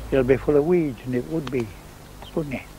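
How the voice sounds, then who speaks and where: A man's medium-pitched voice shows ordinary pitch variation, with noticeable background noise behind it. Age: 70s. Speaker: gardener and beekeeper. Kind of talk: interview.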